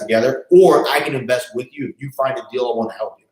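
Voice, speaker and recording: The speaker is a man. He talks very fast. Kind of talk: casual vlog monologue. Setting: office. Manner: animated.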